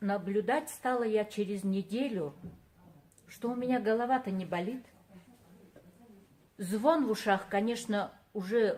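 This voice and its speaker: A woman speaks at a very slow pace with lively intonation. Her voice is somewhat breathy and medium in pitch. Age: 60s. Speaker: product user giving a testimonial. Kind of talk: testimony. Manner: halting.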